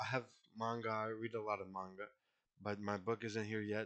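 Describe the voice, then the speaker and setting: Fairly low in pitch, a man with a non-native accent speaks in a bright, sharp tone. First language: not English. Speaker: poetry vlogger. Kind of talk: casual vlog talk. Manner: halting, many fillers.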